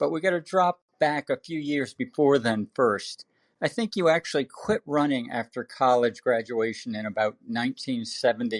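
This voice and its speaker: In a normal speaking voice, a man with an American accent talks at medium pitch and a moderate pace, his intonation lively, on a very clean recording with a silent background and a dry, close sound with no echo. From Connecticut, US. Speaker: podcast host, former marathon champion. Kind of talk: podcast interview.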